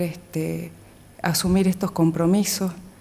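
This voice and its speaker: A woman speaks fairly slowly at a fairly low pitch. Her intonation is monotone and flat. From Metán, Salta province, northwestern Argentina. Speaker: lawyer, assistant prosecutor applying for a judgeship. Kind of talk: formal job interview. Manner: formal, with frequent filler hesitations.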